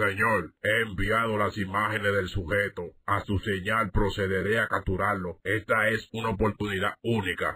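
A man puts on a raspy character voice, pitched fairly low. He keeps a moderate pace with flat, monotone intonation. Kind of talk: parody police procedural. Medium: cartoon. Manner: formal, clipped, official.

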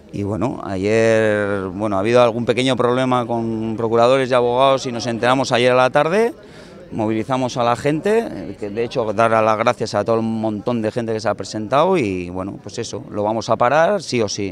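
A man at a moderate pace with ordinary pitch variation, light background noise and a dry sound with no echo. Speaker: housing activist spokesman. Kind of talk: interview answer. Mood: determined, indignant. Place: street. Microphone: handheld.

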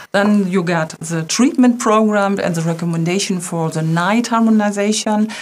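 A woman talks at a moderate pace with a German accent and hardly any pauses. Her pitch varies in an ordinary way. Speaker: company webinar co-host. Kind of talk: webinar presentation. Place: studio.

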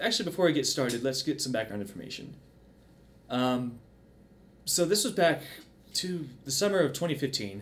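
At a moderate pace, a man speaks with very wide pitch swings and long, frequent pauses. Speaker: video creator. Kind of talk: casual commentary intro. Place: home room.

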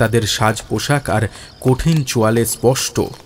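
The text comes in a natural reading voice that shows ordinary pitch variation.

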